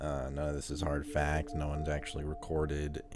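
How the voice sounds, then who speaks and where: A man with a very deep, low pitch talks while music plays in the background. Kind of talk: casual talk to camera. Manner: casual, conversational, skeptical.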